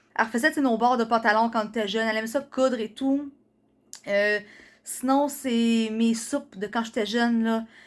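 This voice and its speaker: With a Quebec accent, a woman speaks at a fairly high pitch using fairly even intonation. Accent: Québécois French. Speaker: vlogger. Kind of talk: casual vlog talk. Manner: fast.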